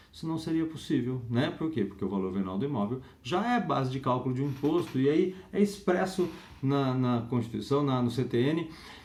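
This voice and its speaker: With lively intonation and a fairly high pitch, a man speaks at a moderate pace amid audible room echo. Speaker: law lecturer. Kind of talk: lecture. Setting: home recording.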